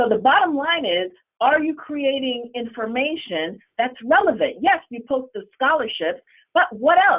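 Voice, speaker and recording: The woman's voice is high in pitch, with very wide pitch swings. She uses an animated tone at a fairly slow pace. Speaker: school counselor running a scholarship social media page. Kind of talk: webinar presentation.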